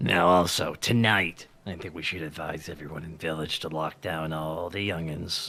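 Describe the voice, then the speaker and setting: A raspy, put-on character voice talks at a moderate pace with hardly any pauses. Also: man, very deep, low pitch for a man. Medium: actual play. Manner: folksy, dialect words.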